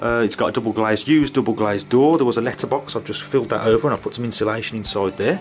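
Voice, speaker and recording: Over faint background music, a man speaks at a very fast pace. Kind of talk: casual tutorial walkthrough. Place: workshop. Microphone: phone near.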